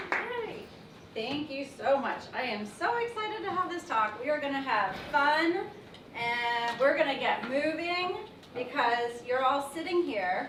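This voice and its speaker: Over noticeable background noise and audible room echo, a woman speaks fairly slowly in a high voice with very wide pitch swings. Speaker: physical therapist. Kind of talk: presentation talk.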